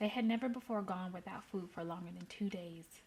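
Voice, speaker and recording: A woman with an American accent, a somewhat breathy, dark, mellow tone and fairly even intonation. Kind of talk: story reading. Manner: casual.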